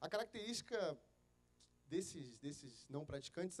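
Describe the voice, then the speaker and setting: With a Rio de Janeiro accent, a man speaks at a fairly quick pace in a high voice. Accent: carioca. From Rio de Janeiro, Brazil. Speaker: pastor. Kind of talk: sermon. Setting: church.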